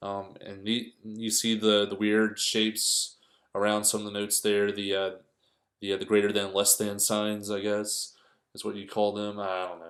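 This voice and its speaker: A man's monotone, flat delivery with big swings in loudness. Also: fairly low pitch for a man, moderate pace, very clean recording, silent background. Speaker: guitar teacher. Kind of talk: tutorial. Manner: halting, many fillers; casual.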